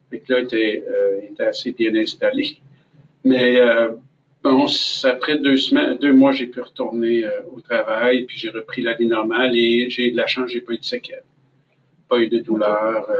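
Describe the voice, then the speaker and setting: In a Quebec accent, a man speaks at a fairly slow pace with long, frequent pauses. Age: 60s. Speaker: cancer patient and volunteer. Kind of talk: testimony. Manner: hesitant, many fillers.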